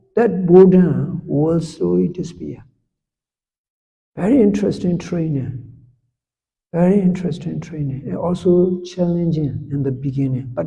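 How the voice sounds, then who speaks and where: With a dark, mellow tone and a fairly high pitch, a man talks at a moderate pace with long, frequent pauses, ordinary pitch variation and audible room echo. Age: 70s. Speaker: Buddhist monk and meditation teacher. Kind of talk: meditation instruction talk.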